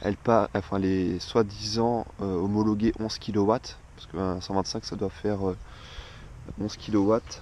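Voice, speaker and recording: The man's intonation stays monotone and flat. He talks fairly slowly. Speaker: motorcycle owner. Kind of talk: casual product presentation to camera. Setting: outdoors. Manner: hesitant, many fillers.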